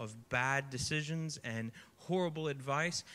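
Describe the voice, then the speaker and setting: A man speaks with a bright, sharp tone. His pitch variation is ordinary. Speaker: youth pastor. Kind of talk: sermon. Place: stage. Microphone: handheld.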